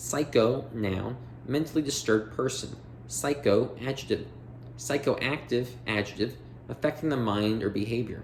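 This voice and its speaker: The man's medium-pitched voice carries vocal fry and ordinary pitch variation. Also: moderate pace. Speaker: audiobook reader. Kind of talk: reading aloud.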